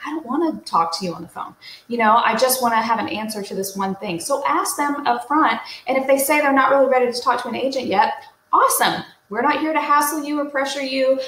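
Audible room echo surrounds a woman speaking at a very fast pace in a high pitch. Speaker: real estate coach. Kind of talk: tutorial. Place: home room. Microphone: webcam.

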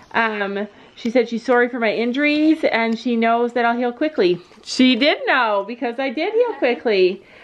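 A woman's high voice against noticeable background noise. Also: ordinary pitch variation, moderate pace. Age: 40s. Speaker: family vlogger, mother. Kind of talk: casual chat.

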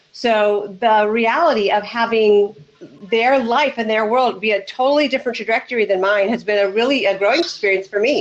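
A woman with an American accent, at a fairly quick pace, with very even loudness and ordinary pitch variation. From United States. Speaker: relationship coach and former therapist. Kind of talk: casual chat. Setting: video call with headset. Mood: warm, upbeat. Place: home room.

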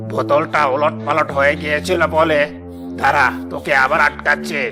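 Over loud background music, a man does a cartoonish character voice at a fairly high pitch and a moderate pace.

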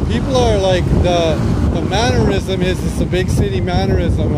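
A man speaks at a moderate pace in a dry sound with no echo, over loud background noise. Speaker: shop owner vlogger. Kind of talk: casual vlog chat. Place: street. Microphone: phone near.

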